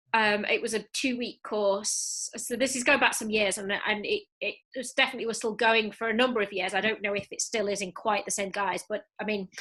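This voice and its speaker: A woman talks at a fairly quick pace in a fairly high pitch with a bright, sharp tone. Her intonation stays flat and monotone. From Yorkshire, England. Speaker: film festival deputy director. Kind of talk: panel interview. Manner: hesitant, many fillers.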